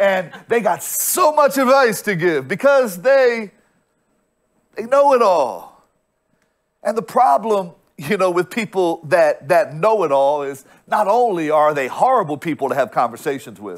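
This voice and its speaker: The background stays quiet. A man talks at a fairly slow pace. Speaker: pastor. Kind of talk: sermon. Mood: humorous, teasing. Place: stage. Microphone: lapel.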